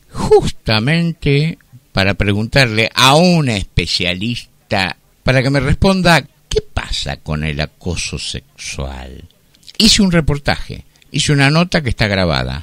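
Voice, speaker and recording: At a fairly slow pace, a man speaks in a medium pitch with very wide pitch swings, the sound dry and close with no echo. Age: 60s. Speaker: radio host. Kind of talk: radio commentary.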